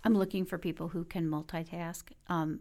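A woman with a fairly low pitch speaks with vocal fry and fairly even intonation. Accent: American. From Detroit, Michigan. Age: 50s. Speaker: university enrollment executive. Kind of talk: interview.

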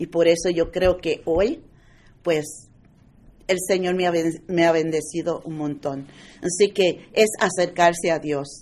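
A woman with a plain, everyday voice, fairly low in pitch, with fairly even intonation and a fairly slow pace. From United States, Puerto Rican-born. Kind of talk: testimony.

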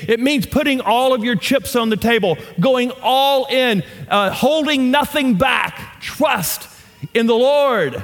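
With a Southern US accent, a man speaks in an extremely high pitch and an animated tone, his pitch varying in an ordinary way over noticeable background noise. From US South. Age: 50s. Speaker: guest pastor. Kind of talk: sermon. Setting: church.

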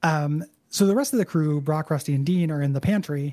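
A man's somewhat breathy, dark, mellow voice, fairly high in pitch with ordinary variation, at a fairly quick pace, in a very clean recording with a silent background. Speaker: podcast host. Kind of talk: casual chat.

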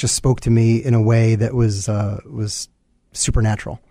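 This man has an American accent and a medium pitch. His tone is dark and mellow, and he speaks at a fairly slow pace. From New York. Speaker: business owner. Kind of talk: interview. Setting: studio. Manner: halting, many fillers.

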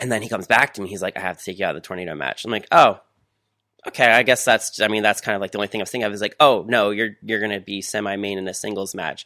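Very fast and bright, sharp in tone, a man with fairly low pitch and ordinary pitch variation speaks in a dry, close, very clean recording with no echo and a silent background. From South Jersey. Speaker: professional wrestler. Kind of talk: interview. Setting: studio.

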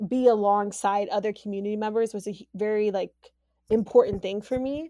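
A woman with an American accent speaks in a dark, mellow tone with fairly even intonation against a quiet background. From US Midwest (Youngstown, Ohio). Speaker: podcast guest. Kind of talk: casual interview.

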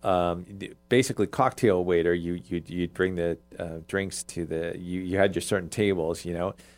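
At a moderate pace, a man with a very deep, low pitch speaks in a very clean recording with a silent background. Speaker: podcast host. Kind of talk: casual chat. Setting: studio.

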